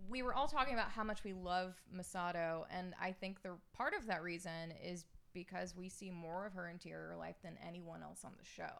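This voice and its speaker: A woman with an American accent speaks at a fairly quick pace, her pitch medium with ordinary variation. Her loudness swings widely, in an ordinary speaking voice. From US South, Alabama. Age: 30s. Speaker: podcast guest, anime fan. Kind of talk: casual chat.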